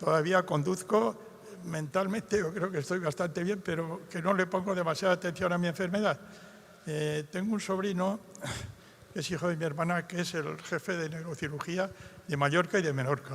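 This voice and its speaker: Here a man speaks with a high pitch at a moderate pace. The intonation is fairly even. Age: 80s+. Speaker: audience member with Parkinson's. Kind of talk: question from audience.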